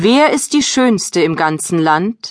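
Against a quiet background, a woman speaks at a very slow pace. Her pitch swings very widely. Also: dry, close sound with no echo. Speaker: audiobook narrator. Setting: studio. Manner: storytelling, gentle and expressive.

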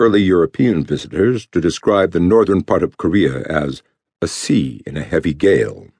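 The intonation is lively, with vocal fry throughout. Delivery comes at a moderate pace. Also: man. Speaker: audiobook narrator. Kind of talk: dramatic thriller narration, read aloud in a tense, measured storytelling tone. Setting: studio. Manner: grave and suspenseful, steady pacing with ominous emphasis on grim details.

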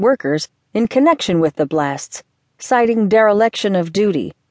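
A normal speaking voice with lively intonation comes through. The sound is dry and close with no echo, over a quiet background. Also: woman. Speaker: audiobook narrator. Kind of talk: formal news reading, scripted newspaper article read aloud. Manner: formal, measured and even-paced; neutral, objective newsreader tone, clearly enunciated.

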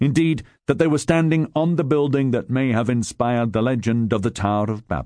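A man's medium-pitched, dark and mellow voice with a dramatic tone, ordinary pitch variation and a fairly quick pace against a quiet background. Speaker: audiobook narrator. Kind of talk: audiobook narration of nonfiction history, read aloud from a script. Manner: dramatic, measured, storytelling delivery with gravitas.

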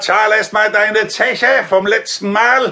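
Putting on a character voice, a man speaks slowly in a high pitch with a bright, sharp tone and fairly even intonation.

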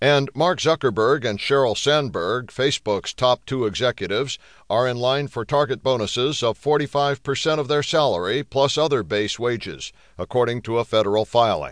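A plain, everyday voice speaks at a moderate pace with ordinary pitch variation. The sound is dry and close with no echo, over a quiet background. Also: man, medium pitch for a man. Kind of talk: newsreading. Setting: studio. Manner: formal, even-paced, steady; neutral, impersonal delivery.

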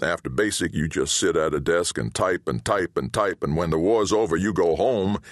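In a quiet background, a man talks at a moderate pace with vocal fry. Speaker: audiobook narrator. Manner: gruff, colloquial, wry storytelling, with quoted father's rough voice.

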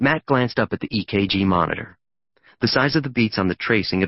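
Someone reads aloud in a natural voice while the background stays hushed.

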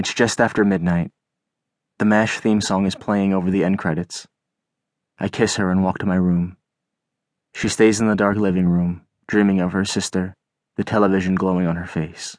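Against a quiet background, a man speaks at a moderate pace in a very deep, low voice, monotone and flat, with long, frequent pauses. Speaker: audiobook narrator and memoir author. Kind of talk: dramatic audiobook memoir narration, voicing a drunk mother's cursing.

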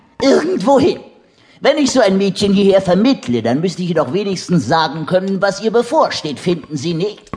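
Against noticeable background noise, a man with a high pitch talks at a moderate pace, his pitch swinging very widely. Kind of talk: dramatic audiobook narration with voiced characters. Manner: theatrical, punchy delivery with sudden exclamations.

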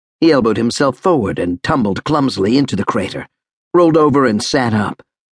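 Against a quiet background, an unforced reading voice moves with lively intonation.

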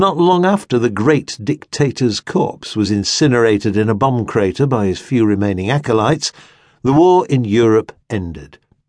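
Against a quiet background, a man speaks at a medium pitch. His pitch swings very widely. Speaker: audiobook narrator. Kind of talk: audiobook memoir reading, scripted narration. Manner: slow, measured, reflective, wistful and elegiac in tone.

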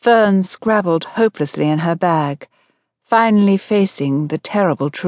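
Quiet background, natural reading voice.

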